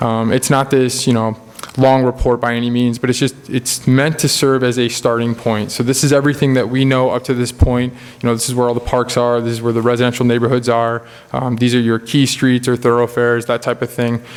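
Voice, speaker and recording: Over noticeable background noise, a man speaks fairly quickly at a medium pitch, his intonation monotone and flat. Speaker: planning consultant. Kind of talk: presentation to village board. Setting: public board meeting. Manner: fast; hesitant, many fillers.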